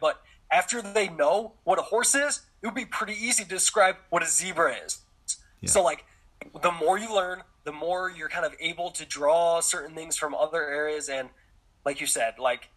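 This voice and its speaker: Over noticeable background noise, a man with an American accent and a high pitch speaks at a moderate pace with lively intonation. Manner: casual, relaxed, lots of filler words.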